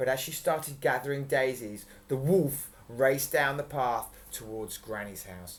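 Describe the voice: Pitch shifts in a normal way here. The delivery is plain reading aloud.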